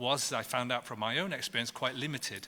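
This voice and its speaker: A bright, sharp tone with a British accent comes through on a very clean recording with a silent background. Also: man. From Britain. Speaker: professor and panel chair. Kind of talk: panel discussion introduction. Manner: halting, with many fillers and restarts.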